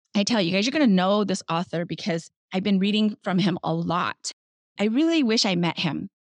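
With an ordinary speaking voice, a woman uses lively intonation at a medium pitch, her loudness very even and the sound dry and close with no echo. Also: fairly quick pace. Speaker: podcast host. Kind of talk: interview. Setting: video call.

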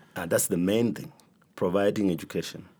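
A man speaks in a very deep, low pitch with a dark, mellow tone. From Kenya. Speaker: bishop. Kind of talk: interview testimony.

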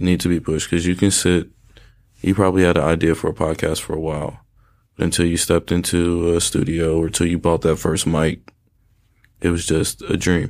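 In an American accent, a man with a very deep, low pitch speaks at a fairly quick pace in monotone, flat intonation. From North Carolina, Durham. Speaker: clothing designer and brand owner. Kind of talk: casual interview.

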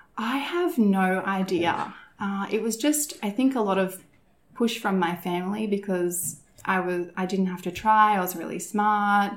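A woman speaks with an Australian accent at a medium pitch. Her pace is fairly slow, with ordinary pitch variation. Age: 30s. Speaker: lash and brow technician. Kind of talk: interview.

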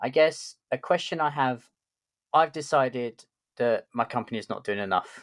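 A man with a London accent speaks at a moderate pace and a medium pitch. The sound is dry and close with no echo, in a very clean recording with a silent background. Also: ordinary pitch variation. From London, England. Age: middle-aged. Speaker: podcast host, tech lead. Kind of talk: interview conversation.

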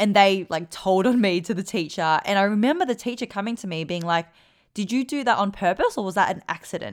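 A woman with an Australian accent speaks at a fairly quick pace and a medium pitch, using an animated tone and ordinary pitch variation, in a very clean recording with a silent background. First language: Vietnamese. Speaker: podcast host and performance coach. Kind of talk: casual Q&A monologue.

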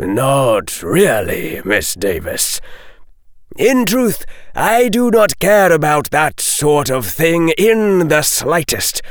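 A man puts on a high-pitched character voice and speaks very slowly. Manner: mild, equable, sardonic.

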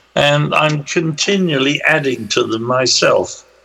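The man talks at a fairly slow pace. Noticeable background noise runs under his voice. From southwest England. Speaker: paranormal researcher and author. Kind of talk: casual interview. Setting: remote call.

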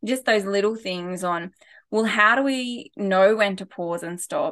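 Against a quiet background, a woman with an Australian accent speaks at a moderate pace in a medium-pitched voice with a bright, sharp tone and ordinary pitch variation. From rural New South Wales, Australia. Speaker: former teacher and wellbeing consultant. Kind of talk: casual interview. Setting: remote call.

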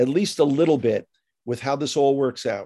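In a New York accent, a man with a dark, mellow tone speaks at a moderate pace. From US, New York (Bronx). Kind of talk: interview conversation. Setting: remote call.

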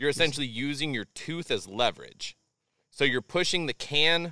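On a very clean recording with a silent background, a man's voice comes across bright and sharp in tone. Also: dry, close sound with no echo. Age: 30s. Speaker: streamer. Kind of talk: casual chat.

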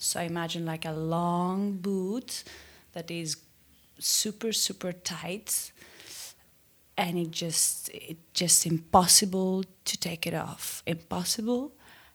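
Speaking at a very slow pace with long, frequent pauses, a woman with a Greek accent has a fairly low pitch. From Greece, Athens. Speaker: listener caller. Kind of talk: recorded voicemail story.

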